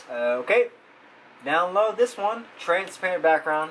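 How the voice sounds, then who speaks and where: Speaking with an American accent, a man uses a fairly high pitch, a fairly slow pace and very wide pitch swings, with light background noise. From Texas, Dallas. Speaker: YouTuber. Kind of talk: screen-recording tutorial. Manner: casual, thinking aloud. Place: home room.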